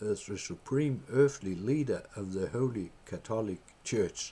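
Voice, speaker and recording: A man talks very slowly. He has a Danish accent. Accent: Danish accent, non-native English. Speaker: political party member. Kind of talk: reading aloud a letter. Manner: halting.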